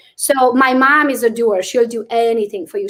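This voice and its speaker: A woman with a non-native accent speaks at a high pitch. Her pace is fairly quick. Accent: noticeable foreign. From Transylvania, Romania (Hungarian). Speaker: real estate agent. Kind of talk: interview. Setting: livestream.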